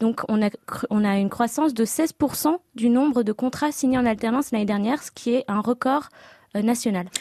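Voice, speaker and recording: A woman talks at a moderate pace with a fairly high pitch and ordinary pitch variation. Her tone is dark and mellow, and the sound is dry and close with no echo. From France, Seine-Saint-Denis. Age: 20s. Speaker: start-up founder. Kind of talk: radio interview. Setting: radio studio. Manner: hesitant, many fillers.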